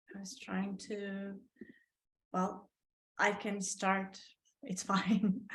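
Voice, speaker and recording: A woman's medium-pitched, somewhat breathy voice, very slow and monotone, with flat intonation and long, frequent pauses. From Portugal. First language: Portuguese. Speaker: artist. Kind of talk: casual chat. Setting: video call. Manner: halting.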